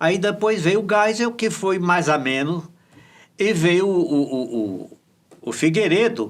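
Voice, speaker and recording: Using lively intonation, a man speaks in a high pitch at a very slow pace with long, frequent pauses. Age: 80s+. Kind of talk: interview.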